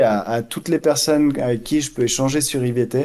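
At a fairly slow pace, a man with a fairly high pitch and a dark, mellow tone speaks with fairly even intonation. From Switzerland (Geneva area). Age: 40s. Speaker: math teacher and amateur trader. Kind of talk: interview.

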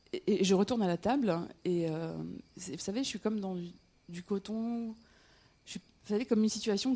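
A woman speaks in a dark, mellow tone. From north-eastern France, Metz (Lorraine). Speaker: storyteller. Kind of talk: personal storytelling on stage. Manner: halting, with frequent repetitions and hesitations.

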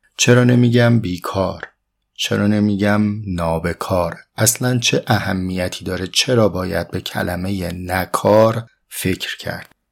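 A man speaks at a very slow pace and a fairly low pitch, with ordinary pitch variation. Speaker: philosophy podcast host. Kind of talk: reflective lecture. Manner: formal.

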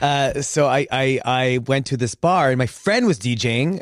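A man with a normal speaking voice speaks at a medium pitch and a fairly slow pace, using ordinary pitch variation. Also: dry, close sound with no echo. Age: 40s. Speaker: magician. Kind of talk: casual chat.

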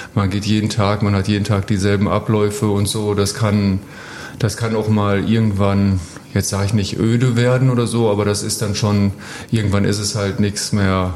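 A man with a fairly low voice speaks in a monotone, flat way, with audible room echo and noticeable background noise. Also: moderate pace. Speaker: professional ice hockey player. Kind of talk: casual chat. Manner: halting, many fillers.

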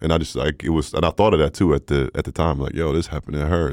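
Very fast and very deep, a man's voice with vocal fry and fairly even intonation comes through dry and close, with no echo, in a very clean recording with a silent background. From Sweden, Stockholm. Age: 20s. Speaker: professional basketball player. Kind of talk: casual interview.

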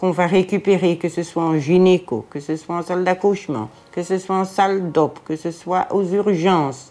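Medium-pitched speech from a woman at a fairly slow pace. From Brussels, Belgium (Jette). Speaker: hospital porter, former care assistant. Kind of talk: testimony.

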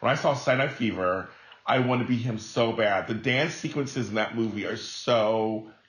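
A man at a medium pitch and moderate pace, with fairly even intonation and noticeable background noise. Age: 40s. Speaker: entertainer and podcast host. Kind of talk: casual chat.

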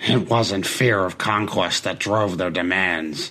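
Using a put-on character voice, a man sounds raspy at a very deep, low pitch. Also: fairly slow pace. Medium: audio drama. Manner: intense, persuasive.

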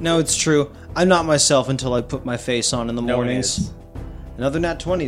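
A male voice sits at a medium pitch with normal rise and fall. Music runs behind him. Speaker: tabletop RPG podcast player.

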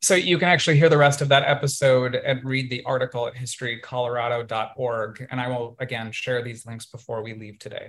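Talking at a fairly quick pace with hardly any pauses, a man with an unremarkable speaking voice keeps his medium pitch fairly even in intonation while his loudness swings widely. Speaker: podcast host and multidisciplinary artist. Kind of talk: illustrated presentation to a virtual audience, personal storytelling. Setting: video call. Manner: conversational with frequent um and uh fillers.

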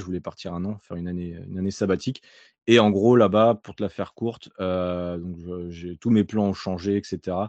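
A man with a very deep, low pitch, fairly even intonation, and big swings in loudness. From France, Nantes. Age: 30s. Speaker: online fitness coach. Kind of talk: casual interview.

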